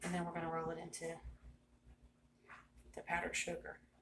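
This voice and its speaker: The woman's pitch sits in the medium range. She has a bright, sharp tone. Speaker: cooking video host. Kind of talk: cooking tutorial. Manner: loud; casual, chatty. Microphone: no microphone, built-in device mic.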